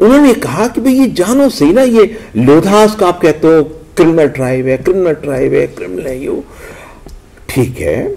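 With very wide pitch swings, a man speaks at a moderate pace in a high voice. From Uttar Pradesh, India. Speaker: anthropology professor; professor, speaker. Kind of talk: lecture. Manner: halting. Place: hall. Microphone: podium.

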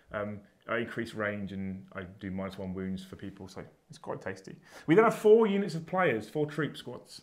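Against a quiet background, a man with a British accent speaks in a fairly low pitch, his intonation lively and his loudness swinging widely. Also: moderate pace. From UK. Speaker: tabletop wargaming YouTuber. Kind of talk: casual banter during a tabletop game. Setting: studio. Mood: relaxed, jokey banter. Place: studio.

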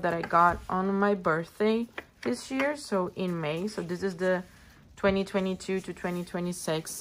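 A woman with a Portuguese accent and ordinary pitch variation, over light background noise. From Brazil. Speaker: planner and stationery youtuber; stationery youtuber. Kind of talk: casual show-and-tell video. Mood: relaxed, friendly. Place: home room. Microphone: phone near.

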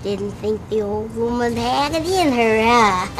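The speech moves at a fairly slow pace over clear background noise. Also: woman, fairly high pitch for a woman. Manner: warm, calm, encouraging.

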